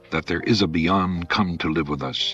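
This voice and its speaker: A man speaks fairly slowly in a very deep, low voice with ordinary pitch variation. Music plays in the background. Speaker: preacher. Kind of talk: radio sermon, conversational.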